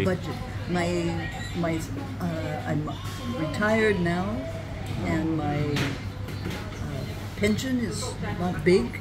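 The woman speaks at a very slow pace, with long, frequent pauses. Loud background noise sits behind her. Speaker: retired traveller and author. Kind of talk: interview answer. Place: cafe. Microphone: phone near.

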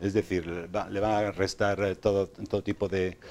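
Over light background noise, a man speaks at a fairly low pitch. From Spain, Sanabria (Zamora); Spain. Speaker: self-published author; interview guest. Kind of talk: TV interview. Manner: halting, many repetitions. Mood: calm, reflective. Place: studio. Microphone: lapel.

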